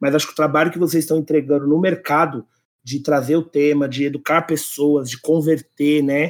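A man with a São Paulo accent speaks at a fairly high pitch in a monotone, flat intonation. The recording is very clean, with a silent background. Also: moderate pace. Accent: Paulistano Brazilian Portuguese. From Brazil, São Paulo city. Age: 30s. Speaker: employer branding specialist. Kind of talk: podcast interview.

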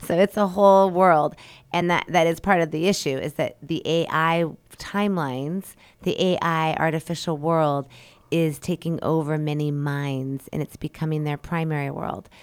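In a very clean recording with a silent background, a woman with a plain, everyday voice speaks at a moderate pace, with fairly low pitch and fairly even intonation. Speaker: radio host. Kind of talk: radio host patter, spiritual talk-show musing, with warm sign-offs. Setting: radio studio broadcast.

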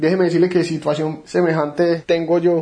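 A man talks at a moderate pace with a fairly high pitch. Noticeable background noise sits behind him. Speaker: sports podcast host. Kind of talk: interview.

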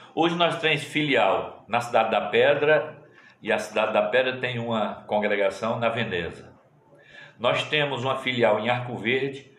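A man at a moderate pace, with audible room echo. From Pernambuco sertão, Brazil. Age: 50s. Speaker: pastor. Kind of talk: interview, casual chat.

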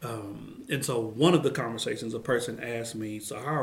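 Someone with an American accent speaks with ordinary pitch variation over noticeable background noise. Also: man. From Oklahoma City, Oklahoma. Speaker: professor and author. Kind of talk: interview conversation. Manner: expressive inflection.

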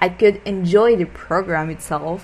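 Speaking at a very slow pace with a non-native accent, the voice comes through noticeable background noise. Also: woman. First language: not English. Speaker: podcast host, language learner. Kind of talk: casual solo monologue. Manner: halting.

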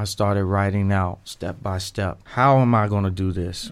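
A man with an American accent speaks at a moderate pace in a fairly low pitch. His intonation is monotone and flat, and the recording is very clean with a silent background. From Dayton, Ohio. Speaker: actor. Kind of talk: interview. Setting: studio.

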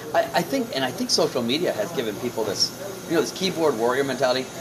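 Over noticeable background noise, a man with an American accent delivers his words at a fairly quick pace. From United States. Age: 40s. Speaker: comedian and homesteader. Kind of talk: casual chat.

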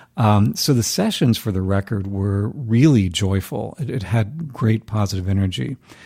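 With an American accent, the voice is somewhat breathy, with a dark, mellow tone and lively intonation. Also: man, fairly low pitch for a man, moderate pace. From US South, North Carolina. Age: 50s. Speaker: singer-songwriter and music professor. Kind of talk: casual interview.

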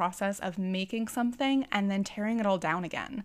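Talking fairly quickly, a woman has an American accent. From US Midwest, Twin Cities, Minnesota. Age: 20s. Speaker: podcast host and choreographer. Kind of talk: interview.

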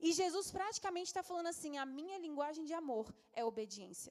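A woman is speaking. Her pace is fairly quick. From Brasília, Brazil. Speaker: youth pastor. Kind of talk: sermon. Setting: church.

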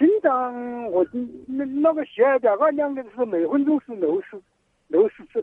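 With very wide pitch swings, a man speaks extremely high at a moderate pace, leaving long, frequent pauses. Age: 60s. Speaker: caller. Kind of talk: phone-in health consultation. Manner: halting, repeats words.

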